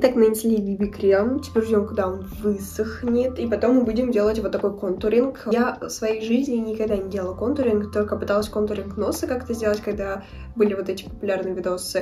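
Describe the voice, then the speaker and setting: A woman's fairly high, fairly even voice at a fairly quick pace, with audible room echo and noticeable background noise. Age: 20s. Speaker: beauty vlogger. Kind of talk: makeup tutorial. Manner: casual.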